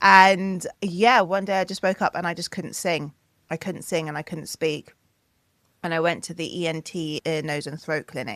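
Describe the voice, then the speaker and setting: A woman with a British accent talks at a fairly low pitch with ordinary pitch variation. The recording is very clean with a silent background and a dry, close sound with no echo. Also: moderate pace. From Wales. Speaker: singer, DJ and producer. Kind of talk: interview conversation.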